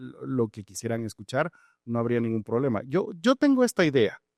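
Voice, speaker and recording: Recorded very cleanly against a silent background, with a dry, close sound and no echo, a man speaks at a fairly quick pace with lively intonation in an unremarkable speaking voice. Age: 40s. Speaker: judge and judicial candidate. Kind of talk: interview answers. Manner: measured, formal.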